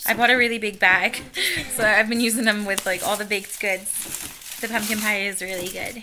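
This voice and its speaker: Fairly high-pitched woman's voice with an American accent, monotone, flat intonation, a moderate pace, and noticeable background noise. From Pennsylvania. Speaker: family vlogger. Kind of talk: casual chat. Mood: relaxed, cheerful. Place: home room. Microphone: phone near.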